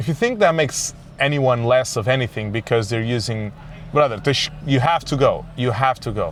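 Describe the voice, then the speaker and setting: This man speaks with a Portuguese accent at a fairly quick pace. His pitch is medium with ordinary variation, and there is noticeable background noise. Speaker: comedian. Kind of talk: casual monologue podcast. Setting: in a car. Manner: animated.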